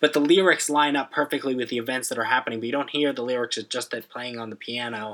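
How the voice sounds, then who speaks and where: A man speaking at a very fast pace, with ordinary pitch variation. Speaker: podcast co-host. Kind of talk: casual chat.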